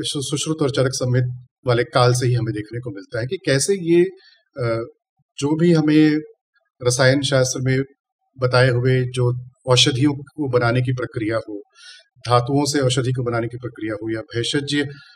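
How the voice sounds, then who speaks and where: A man with a non-native accent speaks at medium pitch in a somewhat breathy voice. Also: ordinary pitch variation. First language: not Hindi (speaking Hindi). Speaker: chemistry professor. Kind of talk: interview. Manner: formal.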